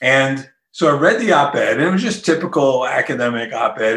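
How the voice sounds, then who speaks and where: A man talks with a New Jersey accent. His intonation is lively. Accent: New Jersey American. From Newark, New Jersey. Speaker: author. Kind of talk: interview.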